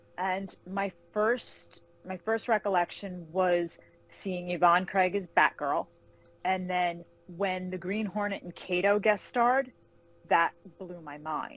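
Fairly slow speech in a New York accent, dry and close with no echo. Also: woman. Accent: New York area American. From New York (Carmel, outside Manhattan). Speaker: fantasy novelist. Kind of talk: interview. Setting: call.

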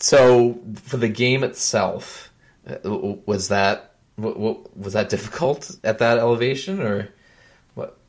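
Recorded very cleanly against a silent background, a man speaks at a very slow pace with a medium pitch and ordinary pitch variation. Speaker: podcast host. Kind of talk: casual interview. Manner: enthusiastic, animated.

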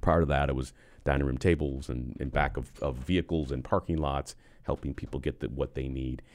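At a fairly quick pace, a man with a very deep, low pitch talks in fairly even intonation with vocal fry. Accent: American. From Western New York (Buffalo). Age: 50s. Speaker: construction company executive. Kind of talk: casual interview.

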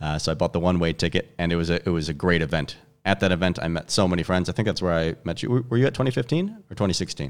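Speaking at a very fast pace, a man with a very deep, low pitch comes through on a very clean recording with a silent background. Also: ordinary pitch variation. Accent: Chicago. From US Midwest, Chicago. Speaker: gym owner and movement coach. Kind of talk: casual interview chat.

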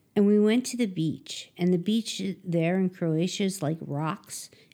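In a Philadelphia accent, a woman speaks at a very slow pace. Her tone is dark and mellow. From Philadelphia area, US. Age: 50s. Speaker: klezmer trumpet player. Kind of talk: casual interview chat.

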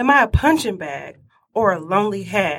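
In a plain, everyday voice, a woman of medium pitch talks at a fairly slow pace with lively intonation. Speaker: stage performer. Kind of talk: spoken word poetry.

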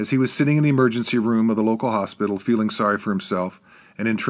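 With ordinary pitch variation, the text is read aloud plainly.

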